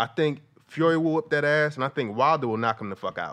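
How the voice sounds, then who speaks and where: This man has an ordinary speaking voice, talking at a moderate pace with ordinary pitch variation. The background is quiet. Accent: American. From New Jersey. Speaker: comedian. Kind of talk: casual chat.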